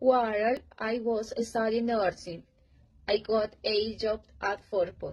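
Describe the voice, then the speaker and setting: In a somewhat breathy, fairly high voice, a woman speaks at a very slow pace with monotone, flat intonation. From Colombia, Bogotá. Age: 30s. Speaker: English learner. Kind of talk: reading aloud.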